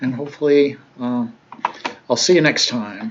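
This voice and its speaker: Pitch varies in an ordinary way at a moderate pace. There is noticeable background noise. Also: man. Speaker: math instructor. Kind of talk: lecture. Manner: conversational with fillers.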